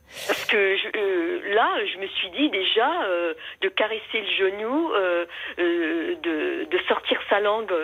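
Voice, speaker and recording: Noticeable background noise sits behind a woman speaking very slowly. Her medium pitch swings very widely. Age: 70s. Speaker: caller. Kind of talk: personal testimony on the phone. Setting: phone call. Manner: halting.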